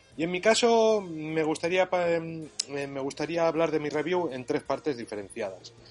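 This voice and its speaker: A man with a plain, everyday voice speaks at a fairly slow pace and a fairly high pitch. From Barakaldo, Basque Country, Spain. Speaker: retro computer enthusiast. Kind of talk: recorded voice message.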